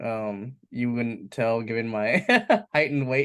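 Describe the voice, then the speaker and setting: At a fairly slow pace, a man with an ordinary speaking voice talks at a medium pitch with fairly even intonation. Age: 20s. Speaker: entrepreneur. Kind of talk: casual talk. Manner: casual, filler-heavy.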